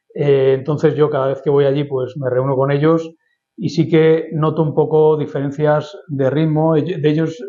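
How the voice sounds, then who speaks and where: The delivery is flat and monotone at a fairly slow pace. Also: man. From Spain, Madrid. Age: 50s. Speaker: lawyer and urban planning expert. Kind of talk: interview. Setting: office.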